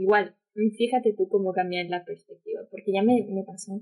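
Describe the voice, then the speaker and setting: A woman speaks at a medium pitch with ordinary pitch variation. Hers is an unremarkable speaking voice. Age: 20s. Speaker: COVID-19 survivor, communications graduate. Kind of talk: casual chat.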